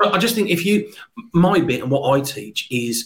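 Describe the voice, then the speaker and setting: Lively in intonation and moderate in pace, the voice is somewhat breathy. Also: man. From Birmingham. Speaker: sales expert and trainer. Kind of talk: casual interview.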